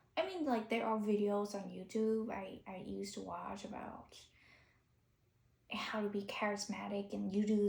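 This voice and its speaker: A woman speaks at a fairly slow pace in a dark, mellow tone. Her voice is somewhat breathy. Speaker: YouTuber. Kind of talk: unscripted monologue. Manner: halting.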